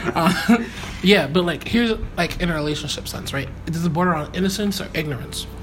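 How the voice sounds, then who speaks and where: A man's high-pitched voice, with ordinary pitch variation, moves along fairly quickly amid noticeable background noise. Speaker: podcast host. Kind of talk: casual conversation.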